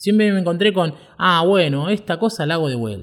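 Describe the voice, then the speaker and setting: A man speaks with a high voice. His intonation is lively. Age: 30s. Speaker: podcast host, web developer. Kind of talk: personal storytelling monologue. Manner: halting, frequent fillers and repetitions.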